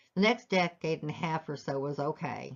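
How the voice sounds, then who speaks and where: This woman has a very deep, low pitch. She uses ordinary pitch variation. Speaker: life story vlogger. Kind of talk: personal testimony.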